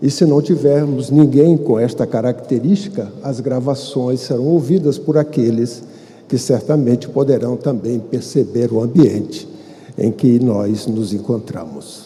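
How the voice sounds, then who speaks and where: A man speaks at a fairly slow pace with medium pitch and ordinary pitch variation. The recording has audible room echo and noticeable background noise. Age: 70s. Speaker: spiritist lecturer. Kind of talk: lecture. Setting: stage with audience. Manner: formal.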